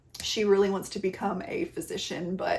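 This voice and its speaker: Against noticeable background noise, a woman at medium pitch speaks in an animated tone. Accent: slight Southern US. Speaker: book reviewer. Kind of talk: casual book recommendation talk.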